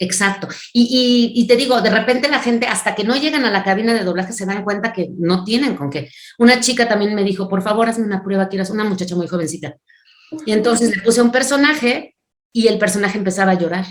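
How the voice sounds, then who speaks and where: Her tone animated, a woman talks at a very fast pace with a fairly high pitch. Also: ordinary pitch variation. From Mexico City. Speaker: voice actress and dubbing director. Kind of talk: interview.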